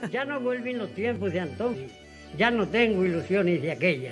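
Over clear background music, a man with an Extremaduran accent speaks at a moderate pace, his pitch swinging very widely. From Extremadura, Spain. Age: 80s+. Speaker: folk poetry reciter. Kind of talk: poetry reading. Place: street.

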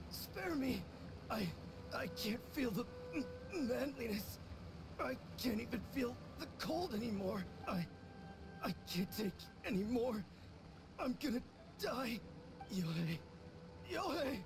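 Under loud background noise, the speech moves at a fairly slow pace with very even loudness. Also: man. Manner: manic boasting, then whimpering.

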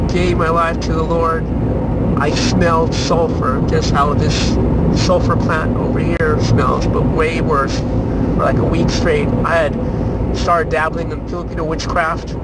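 Loud noise fills the background. The speech moves at a moderate pace with a dry sound and no echo. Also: man. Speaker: vlogger. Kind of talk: casual vlog chat, personal testimony. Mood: earnest, reflective. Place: car. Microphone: phone near.

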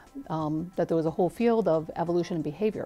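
Faint music plays in the background as a woman talks at a very fast pace with ordinary pitch variation. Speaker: interviewee. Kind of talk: interview answer. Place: studio. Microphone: lapel.

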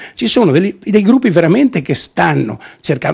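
A man talks at a fairly quick pace in an animated tone with very wide pitch swings. The background is quiet. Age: 60s. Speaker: business owner's husband, activist. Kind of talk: interview. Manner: animated, emotional. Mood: indignant, pleading. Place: office. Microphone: handheld.

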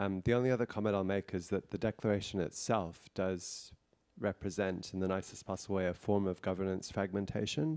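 A man's fairly low voice at a fairly quick pace, with fairly even intonation, very even loudness and a quiet background. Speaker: internet policy director. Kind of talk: workshop discussion. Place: meeting room. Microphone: handheld.

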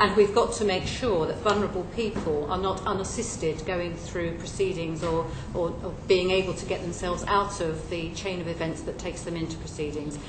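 A woman talks at a fairly quick pace. Noticeable noise sits in the background. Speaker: witness. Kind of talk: interview answer. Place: hall.

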